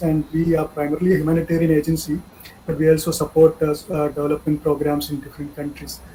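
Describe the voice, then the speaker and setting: The speech comes at a very fast pace. Noticeable background noise sits underneath. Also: man. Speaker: humanitarian aid manager. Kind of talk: online training talk.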